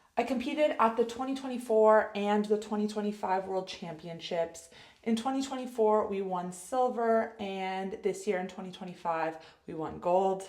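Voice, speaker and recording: A woman's medium-pitched voice at a moderate pace, with ordinary pitch variation and audible room echo. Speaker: health coach and ice hockey player. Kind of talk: casual vlog monologue.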